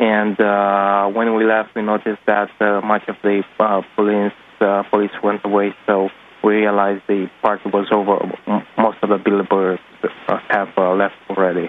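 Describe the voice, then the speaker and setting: With a Romanian accent, a man with a fairly low pitch speaks at a moderate pace in a monotone, flat intonation over noticeable background noise. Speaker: caller, activist photographer. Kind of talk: phone-in testimony. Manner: halting, many fillers.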